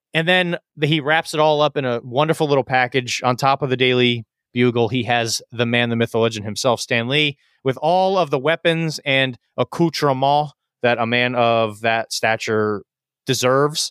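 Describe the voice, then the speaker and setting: At a moderate pace, a man speaks at medium pitch with ordinary pitch variation and very even loudness, on a very clean recording with a silent background and a dry, close sound with no echo. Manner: loud, energetic.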